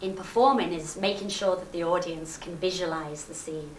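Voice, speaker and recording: A woman is speaking. She has a Liverpool accent. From Liverpool, England. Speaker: rakugo comedian. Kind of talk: interview answer. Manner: lively, cheerful.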